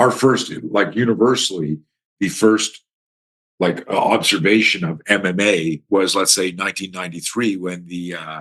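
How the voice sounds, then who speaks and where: Speaking with a Canadian accent, a man uses a very deep, low pitch with ordinary pitch variation at a moderate pace. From Canada. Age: 60s. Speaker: self-defense instructor. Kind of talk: podcast interview. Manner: animated.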